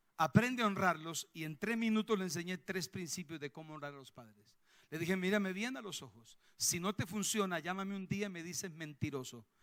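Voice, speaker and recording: The voice has an animated tone and lively intonation with a Colombian accent. It moves at a moderate pace. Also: man. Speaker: pastor. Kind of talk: sermon. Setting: church.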